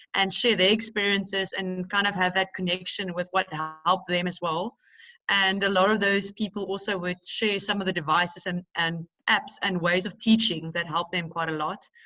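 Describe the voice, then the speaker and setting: A woman with a South African accent, medium pitch, moderate pace and monotone, flat intonation. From South Africa, Cape Town area. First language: Afrikaans. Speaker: teacher. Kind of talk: panel discussion. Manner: halting.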